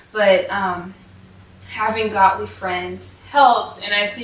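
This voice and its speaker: A woman is speaking with noticeable background noise. Room echo is audible. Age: young. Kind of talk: casual devotional vlog. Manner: hesitant, many fillers.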